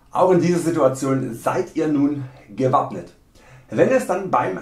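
Very slow, somewhat breathy speech from a man, with audible room echo. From Saxony, Germany. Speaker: video creator. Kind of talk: humorous dialect lesson to camera. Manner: tongue-in-cheek, mock-serious. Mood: playful, joking.

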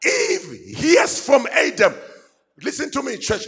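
Shouting in an animated tone with very wide pitch swings, the voice comes over a quiet background. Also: man. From South Africa. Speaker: pastor. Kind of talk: fiery call-and-response sermon to a men's gathering. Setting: church stage with live audience. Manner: animated, exhorting the crowd to shout back; repetitive, building emphasis through repeated phrases. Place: church. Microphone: handheld.

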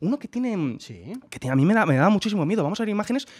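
A man talks in an animated tone with very wide pitch swings. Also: quiet background. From Spain. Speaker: podcast co-host. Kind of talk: casual chat. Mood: animated, humorous. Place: studio. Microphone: studio mic.

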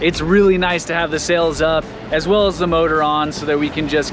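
Here a man speaks in a monotone, flat intonation at a moderate pace. The sound is dry with no echo, though noticeable background noise is present. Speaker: sailor vlogger. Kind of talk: casual vlog chat. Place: boat. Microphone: phone near.

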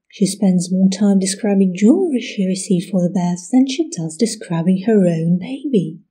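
Somewhat breathy and dark, mellow in tone, a woman speaks at a moderate pace with ordinary pitch variation. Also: medium pitch for a woman, hardly any pauses. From Russia. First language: Russian. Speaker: history video creator. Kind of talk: scripted narration.

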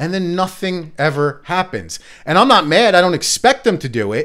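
At a moderate pace, a man with an American accent and vocal fry makes very wide pitch swings against a quiet background. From New Jersey. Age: 40s. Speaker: podcast host. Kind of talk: casual chat. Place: studio. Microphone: studio mic.

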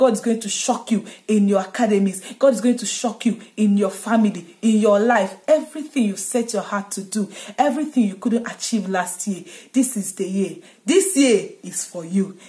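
This woman's fairly high voice is somewhat breathy, with a dark, mellow tone. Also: ordinary pitch variation, moderate pace, quiet background. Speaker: content creator. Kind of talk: fervent prayer and blessing, delivered like a rousing pep talk to followers. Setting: video blog to camera. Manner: exuberant, declarative, rhythmic repetition, rising fervor; upbeat and energetic. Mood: joyful, celebratory. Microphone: phone near.

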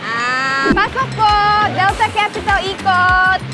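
Over loud background music, a woman speaks at a very slow pace. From Korea. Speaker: jeepney barker for a day. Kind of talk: street calling for passengers. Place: street. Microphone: lapel.

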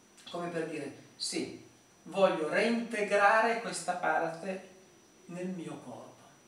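Very slowly, a high-pitched man speaks with ordinary pitch variation and big swings in loudness, in a room with audible echo. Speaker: therapist or instructor. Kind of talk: tutorial.

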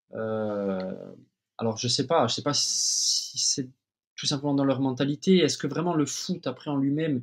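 A man with a Corsican accent against a quiet background. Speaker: former professional footballer; podcast guest. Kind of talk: interview answer. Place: home room. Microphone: webcam.

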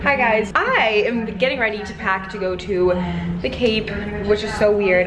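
Clear music plays behind the voice. The speaker is a woman. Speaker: vlogger. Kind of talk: casual vlog chat. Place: home room. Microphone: phone near.

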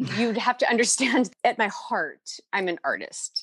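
A woman speaks in a normal speaking voice with an American accent. Her pace is moderate and her intonation lively. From Ohio, US Midwest. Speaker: life coach. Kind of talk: interview.

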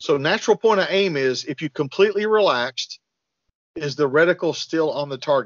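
At a fairly quick pace, a man with a fairly high pitch talks in an unremarkable speaking voice with lively intonation, recorded dry with no echo against a quiet background. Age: 40s. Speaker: firearms and self-defense trainer; self-defense trainer. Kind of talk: podcast interview. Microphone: video call.

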